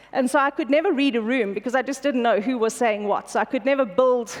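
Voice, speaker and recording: A woman speaks at a fairly quick pace with ordinary pitch variation over noticeable background noise. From South Africa, Pretoria. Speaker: corporate executive. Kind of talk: conference keynote. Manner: fast.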